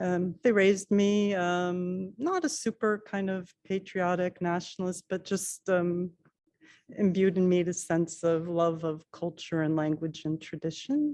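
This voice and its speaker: A woman's medium-pitched voice with a dark, mellow tone, a fairly slow pace and fairly even intonation against a quiet background. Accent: American. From US, Washington DC area. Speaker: librarian. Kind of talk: interview. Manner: halting, many fillers.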